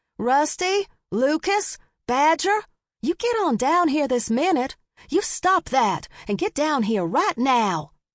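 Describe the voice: A woman shouting in a put-on character voice, high-pitched with big pitch swings, at a slow pace, on a very clean recording with a silent background and a dry, close sound with no echo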